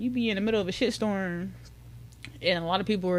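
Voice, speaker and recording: A woman's very fast speech with fairly even intonation. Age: 20s. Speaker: social media mental health advocate. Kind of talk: casual chat.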